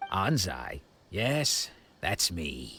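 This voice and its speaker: A man puts on a raspy character voice with a very deep, low pitch. His pitch swings very widely. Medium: video game. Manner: measured, reflective.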